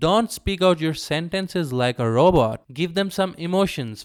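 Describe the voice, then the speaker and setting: With a strong non-native accent, a man talks at a moderate pace with lively intonation on a very clean recording over a silent background. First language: not English. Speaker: medical doctor. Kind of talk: tutorial.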